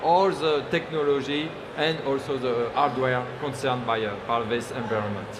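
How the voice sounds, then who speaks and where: A man with a French accent at a moderate pace, with audible room echo and noticeable background noise. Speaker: tech company engineer. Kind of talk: panel discussion. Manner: halting, many fillers.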